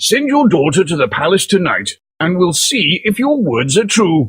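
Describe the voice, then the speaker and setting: A man performs a cartoonish character voice, high in pitch with very wide pitch swings, at a moderate pace. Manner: commanding.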